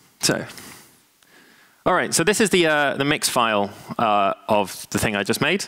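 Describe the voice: A man speaks at a fairly slow pace in a bright, sharp tone with vocal fry.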